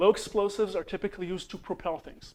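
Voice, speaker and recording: A man speaks with an Israeli accent. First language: Hebrew. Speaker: conference speaker, computer engineer. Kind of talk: conference presentation. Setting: conference room with audience. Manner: halting, many fillers.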